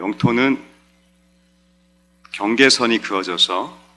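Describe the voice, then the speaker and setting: Noticeable background noise sits behind a man. He speaks at a very slow pace. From South Korea. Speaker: pastor. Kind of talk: sermon.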